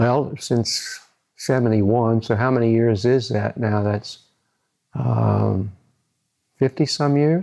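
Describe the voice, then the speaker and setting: The man's dark, mellow tone sits at a medium pitch with ordinary pitch variation. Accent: American. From US Midwest, central Illinois. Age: 70s. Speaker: psychologist. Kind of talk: interview monologue. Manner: halting, with repetitions.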